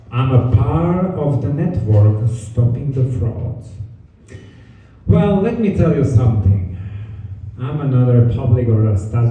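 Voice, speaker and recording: A man speaks at a fairly slow pace in a medium pitch with ordinary pitch variation. Audible room echo surrounds his voice. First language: not English. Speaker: notary and signing service business owner. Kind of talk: event presentation. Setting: event venue with live audience.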